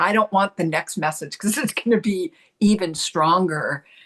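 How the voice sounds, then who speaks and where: With an American accent, a woman speaks in a normal speaking voice at a moderate pace, using ordinary pitch variation, in a dry, close sound with no echo. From US Pacific Northwest. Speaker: spiritual channel and artist. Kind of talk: interview storytelling.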